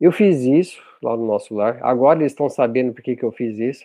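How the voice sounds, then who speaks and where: Over a quiet background, a man with a dark, mellow tone speaks at a moderate pace and medium pitch with ordinary pitch variation. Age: 50s. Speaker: spiritist speaker on online outreach. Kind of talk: casual chat. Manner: animated; halting.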